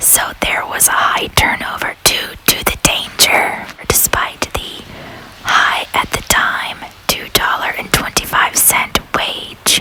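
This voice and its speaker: A voice whispers very slowly. Noticeable background noise fills the clip. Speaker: whispering ASMR walking-tour host. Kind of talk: whispered ASMR history narration outdoors. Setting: outdoors on a city street with ambient noise. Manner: whispered, humorous.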